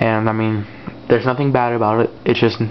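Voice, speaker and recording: A man mumbles at a medium pitch in a monotone, flat delivery over noticeable background noise. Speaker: tech reviewer. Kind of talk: casual product review. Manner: hesitant, many fillers; mumbling.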